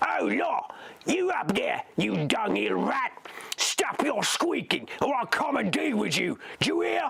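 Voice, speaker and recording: Over clear background noise, a man performs a put-on character voice, raspy and growling, at an extremely high pitch and a fairly slow pace. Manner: snarling, threatening.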